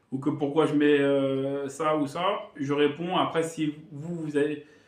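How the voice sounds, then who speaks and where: Over noticeable background noise and audible room echo, a man speaks in a monotone, flat intonation at a fairly high pitch. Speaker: gaming youtuber. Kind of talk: casual vlog talk to viewers. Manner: fast; hesitant, halting.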